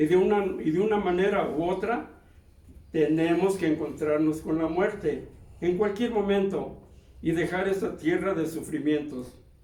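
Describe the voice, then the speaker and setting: In a room with audible echo, a man with a dark, mellow tone and a high pitch speaks at a fairly slow pace with ordinary pitch variation. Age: 80s+. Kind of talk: sermon. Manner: halting.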